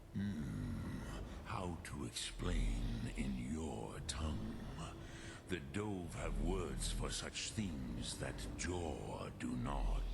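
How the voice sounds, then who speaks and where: In a put-on character voice, a man whispers at a very slow pace over loud background noise. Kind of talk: solemn epic fantasy. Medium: machinima. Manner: slow, measured, mixes in dragon words.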